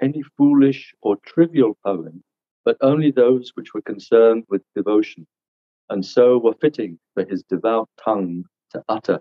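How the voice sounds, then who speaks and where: At a moderate pace, a man talks in a dry sound with no echo against a quiet background. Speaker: seminar teacher. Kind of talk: reading aloud from a book. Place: home room. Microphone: video call.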